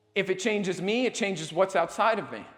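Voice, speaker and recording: A man speaks loudly at a high pitch. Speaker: motivational speaker. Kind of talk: motivational talk to live audience. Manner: loud and passionate.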